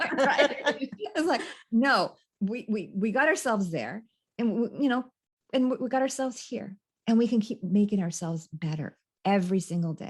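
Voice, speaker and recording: Moderate pace and lively intonation, somewhat breathy, with long, frequent pauses, in an American accent. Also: woman, fairly high pitch for a woman. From California. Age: 60s. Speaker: life coach. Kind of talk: interview. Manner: halting.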